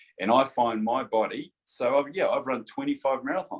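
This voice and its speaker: A man with a New Zealand accent talks at a moderate pace. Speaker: chiropractor. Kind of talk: casual chat.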